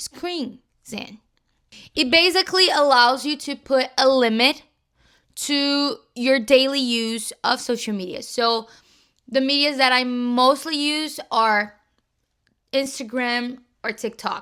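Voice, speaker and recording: Raised and projected, a woman's high, bright, sharp voice with a Brazilian Portuguese accent moves at a very slow pace with long, frequent pauses and ordinary pitch variation, on a very clean recording with a silent background. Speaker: youtuber. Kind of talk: casual vlog talk.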